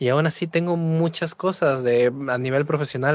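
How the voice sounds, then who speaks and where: A moderate pace with ordinary pitch variation. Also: man. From Peru, Trujillo. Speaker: music producer and vocal coach. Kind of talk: casual interview. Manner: animated.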